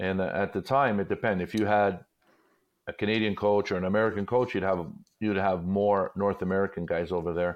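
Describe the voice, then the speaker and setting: Speaking fairly quickly with a Montreal accent, a man uses a fairly low pitch and fairly even intonation. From Montreal, Quebec. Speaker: retired hockey player and commentator. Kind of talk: casual chat.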